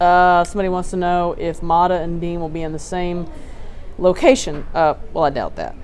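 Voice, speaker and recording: A woman with a Texas accent speaks at a fairly low pitch and moderate pace with fairly even intonation. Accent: Texas twang. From Texas Gulf Coast. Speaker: TV news reporter. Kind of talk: live stream Q&A discussion. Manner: casual, conversational.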